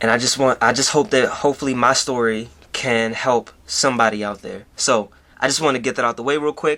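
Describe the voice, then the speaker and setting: An American accent marks this man's ordinary speaking voice at a medium pitch. He talks at a fairly quick pace with fairly even intonation. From Baltimore, Maryland. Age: 20s. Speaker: YouTuber. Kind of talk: personal storytelling vlog. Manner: casual, with many fillers.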